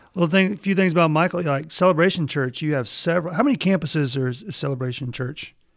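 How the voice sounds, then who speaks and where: A man with a Mississippi accent, fairly high-pitched, talking very fast with hardly any pauses and ordinary pitch variation, on a very clean recording with a silent background. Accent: Mississippi Southern. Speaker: podcast co-host, seminary professor. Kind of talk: casual chat.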